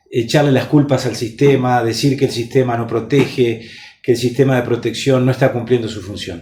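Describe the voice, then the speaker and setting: With noticeable background noise around him, a man speaks at a moderate pace and medium pitch. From Uruguay. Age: 50s. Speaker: politician. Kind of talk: interview. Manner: measured, formal with frequent hesitations.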